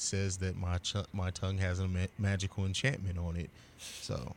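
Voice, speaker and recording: Speaking with an American accent, a man has a very deep, low pitch and a moderate pace. The recording is very clean with a silent background. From grew up abroad, military-style moving; US family. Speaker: podcaster, media company owner. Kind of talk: casual chat.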